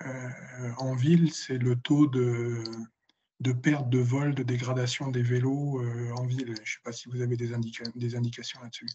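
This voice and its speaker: At a fairly slow pace, a man speaks in a somewhat breathy voice at a medium pitch with monotone, flat intonation. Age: 70s. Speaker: citizen, municipal mobility committee member. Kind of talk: audience question. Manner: halting, many hesitations.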